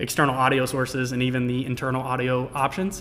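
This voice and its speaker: A man is speaking. He goes at a very fast pace. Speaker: technical specialist hosting live product stream. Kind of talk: live stream Q&A and product tutorial. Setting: live stream with chat. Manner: animated.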